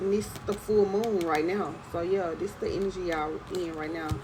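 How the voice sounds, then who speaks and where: Amid noticeable background noise and audible room echo, a woman talks fairly slowly. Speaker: tarot reader. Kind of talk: tarot reading. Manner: casual, repeats okay.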